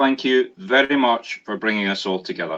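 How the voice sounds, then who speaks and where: Against a quiet background, a man with a Scottish accent talks at a moderate pace, his medium-pitched voice carrying lively intonation. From Scotland. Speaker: guest speaker. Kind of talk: prayer.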